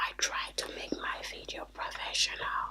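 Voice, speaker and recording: Over noticeable background noise, a woman's whisper unfolds at a very slow pace. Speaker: ASMR and beauty YouTuber. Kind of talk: casual talk to camera, reading viewer comments. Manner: soft-spoken, whispery.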